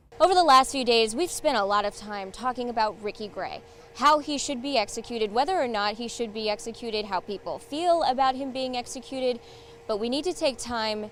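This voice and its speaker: A woman speaks with an American accent. Her pace is fairly quick and her intonation lively. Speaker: TV investigative reporter and fill-in anchor. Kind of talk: on-location live standup report.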